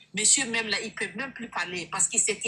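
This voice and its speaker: Noticeable background noise sits behind a woman who talks in an animated tone. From Burkina Faso. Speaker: online sales coach. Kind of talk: testimony.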